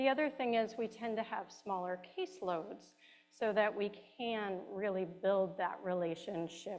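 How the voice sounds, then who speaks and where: A woman speaking at a fairly slow pace. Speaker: care management director. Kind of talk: presentation. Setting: hall with audience, also on video call.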